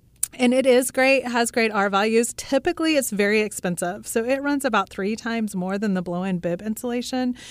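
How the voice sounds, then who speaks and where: A woman with a Midwestern American accent speaks in an animated tone at a fairly quick pace, hardly pausing, her fairly high pitch showing ordinary variation. The recording is very clean, with a silent background. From Kansas (Russell). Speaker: real estate agent and home builder. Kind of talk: radio interview. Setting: radio studio. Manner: talks with her hands, animated.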